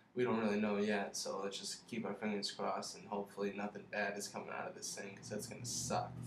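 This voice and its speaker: A man mumbles as he speaks. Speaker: college student. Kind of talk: casual product review to camera. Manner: mumbling.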